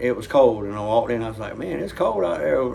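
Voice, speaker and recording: Against noticeable background noise and audible room echo, a man of medium pitch talks with a Southern US accent. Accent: Southern drawl. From US South. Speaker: reaction video host. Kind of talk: casual chat.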